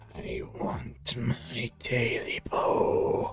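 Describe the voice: In a put-on character voice, a man sounds hoarse, croaky and raspy.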